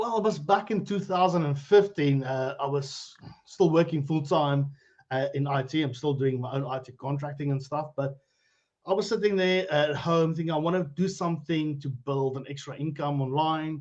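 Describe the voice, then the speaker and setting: At a moderate pace, a man with a South African accent speaks at a fairly high pitch. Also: ordinary pitch variation. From South Africa, Limpopo (Phalaborwa). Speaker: cryptocurrency educator. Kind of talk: interview on Facebook live stream. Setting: live video stream.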